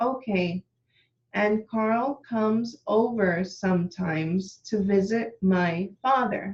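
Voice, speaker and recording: A woman speaks at a very slow pace and medium pitch. Her voice is somewhat breathy, with very even loudness. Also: ordinary pitch variation. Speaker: witness. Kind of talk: testimony.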